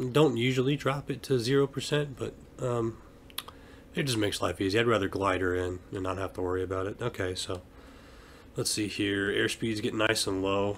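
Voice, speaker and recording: Noticeable background noise is present throughout. The talking is fairly quick, with ordinary pitch variation. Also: man, fairly low pitch for a man. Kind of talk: casual gameplay commentary. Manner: relaxed, half-hearted.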